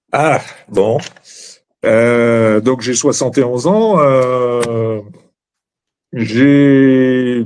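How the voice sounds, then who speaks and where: At a very slow pace with long, frequent pauses, a man speaks at a medium pitch with fairly even intonation. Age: 70s. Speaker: guest sharing his love life. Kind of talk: personal testimony. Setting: online live show. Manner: halting, many fillers.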